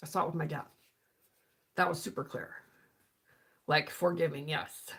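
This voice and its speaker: The woman speaks at a moderate pace in a fairly low pitch. Her tone is animated. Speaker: spiritual healing coach. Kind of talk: live stream talk. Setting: live stream. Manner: halting, self-correcting; casual, animated.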